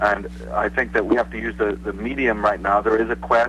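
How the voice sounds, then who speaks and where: A man with a Northern Irish accent at a fairly quick pace, noticeable background noise behind him. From Northern Ireland, Belfast. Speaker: author and researcher. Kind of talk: interview.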